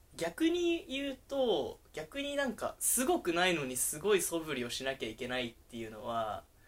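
Speaking with barely a pause, a man keeps up a moderate pace. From Japan, Sapporo, Hokkaido. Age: 20s. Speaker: entrepreneur. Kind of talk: casual chat. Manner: animated.

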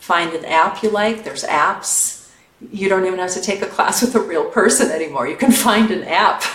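In a room with audible echo and noticeable background noise, a woman speaks at a moderate pace with a medium pitch and ordinary pitch variation. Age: 40s. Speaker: yoga teacher. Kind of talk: casual chat.

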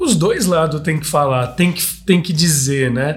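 With a normal speaking voice, a man talks fairly high in pitch, his pitch varying in an ordinary way. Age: 30s. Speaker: podcast host. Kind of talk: casual interview chat. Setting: studio.

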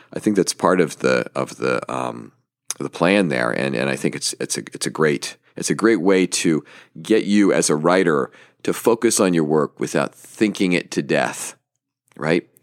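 Dry and close with no echo, a man's very deep, low voice shows vocal fry and lively intonation. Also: moderate pace. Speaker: podcast host and small publisher. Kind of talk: casual solo podcast monologue. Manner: rambling, hesitant, with fillers; upbeat, enthusiastic.

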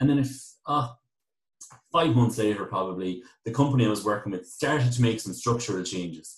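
A man with a western Irish accent, medium in pitch and somewhat breathy, at a fairly quick pace with ordinary pitch variation and long, frequent pauses. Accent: Irish (west of Ireland). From Ireland, County Galway. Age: 30s. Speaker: IT business owner. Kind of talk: interview.

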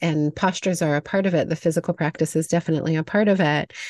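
Recorded dry and close with no echo over a quiet background, a woman with a plain, everyday voice speaks at a fairly low pitch with ordinary pitch variation. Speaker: podcast host and yoga teacher. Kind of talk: casual interview conversation.

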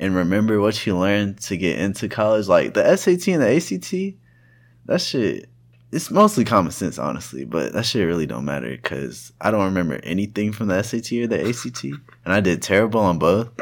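Using a fairly quick pace, a man with a fairly low pitch speaks with very wide pitch swings and vocal fry. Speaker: podcast co-host and college student. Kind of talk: casual chat.

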